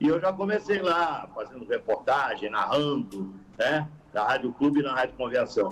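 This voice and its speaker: This is a man with a plain, everyday voice and lively intonation. He speaks at a moderate pace. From Sorocaba, interior of São Paulo state, Brazil. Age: 60s. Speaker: football radio commentator. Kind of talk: podcast interview.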